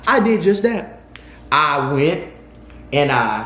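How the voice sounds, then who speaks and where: A man with a high pitch and ordinary pitch variation is heard amid noticeable background noise and audible room echo. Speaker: YouTuber telling personal stories. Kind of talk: storytime monologue.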